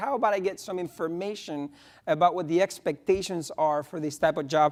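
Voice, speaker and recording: A man speaks in a Spanish accent with ordinary pitch variation. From Spain. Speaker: economics professor. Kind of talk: conference panel talk.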